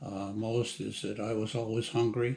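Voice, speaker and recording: With an American accent, a man speaks in a somewhat breathy, medium-pitched monotone. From Massachusetts, US. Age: 80s+. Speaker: retired plant manager. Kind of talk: personal life story interview. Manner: halting, many fillers.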